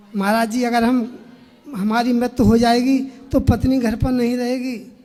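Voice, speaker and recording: Monotone, flat delivery with audible room echo and noticeable background noise. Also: man, extremely high pitch for a man. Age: 50s. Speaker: devotee asking at religious Q&A. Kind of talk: testimony. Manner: formal.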